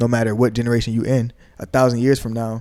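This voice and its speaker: A man speaks at a medium pitch and a fairly quick pace. His tone is dark and mellow, with monotone, flat intonation. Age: 20s. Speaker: rapper, producer and engineer. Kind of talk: interview. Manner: soft-spoken.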